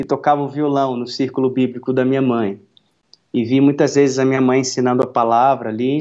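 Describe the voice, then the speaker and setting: A man's dark, mellow tone comes at a medium pitch with fairly even intonation. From interior of Minas Gerais, Brazil. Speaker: pastor and worship musician. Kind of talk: interview testimony.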